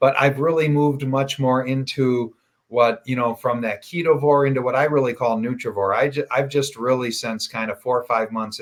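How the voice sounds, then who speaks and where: This is an unremarkable speaking voice from a man with a medium pitch, talking at a moderate pace with hardly any pauses. The recording is very clean, with a silent background. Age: 60s. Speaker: podcast host and health coach. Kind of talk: casual interview chat.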